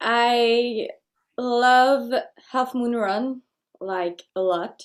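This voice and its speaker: A high-pitched woman's voice in a Quebec accent, very slow. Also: fairly even intonation. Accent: French Canadian accent in English. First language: French. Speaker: folk singer. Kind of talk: interview. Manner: halting.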